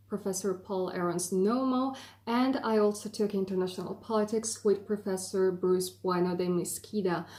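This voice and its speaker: A woman with a medium pitch and a dark, mellow tone speaks at a moderate pace with fairly even intonation. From Italy. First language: Italian. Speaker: YouTuber, film graduate. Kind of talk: explainer video. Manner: hesitant fillers.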